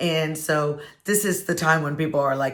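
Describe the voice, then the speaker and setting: A woman speaks fairly slowly in a very deep, low voice with ordinary pitch variation, and the room echo is audible. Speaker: wine and football video host. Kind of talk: casual vlog talk to camera.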